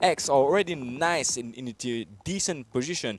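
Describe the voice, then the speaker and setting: A man with a Mauritian accent and lively intonation, over noticeable background noise. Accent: Mauritian, slightly French-sounding. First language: Mauritian Creole. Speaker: esports caster. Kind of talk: live commentary. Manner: animated.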